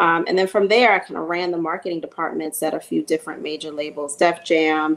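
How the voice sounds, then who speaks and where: A woman speaks with a New York accent at a moderate pace. Her voice is fairly low, with monotone, flat intonation. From Queens, New York. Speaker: music marketing executive. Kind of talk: panel discussion. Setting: virtual panel. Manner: hesitant, many fillers.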